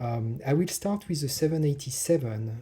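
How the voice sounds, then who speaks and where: A man's medium-pitched voice with ordinary pitch variation and a strong French accent, over noticeable background noise. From France. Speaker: hobbyist lockpicker. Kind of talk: casual tutorial. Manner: hesitant, many fillers.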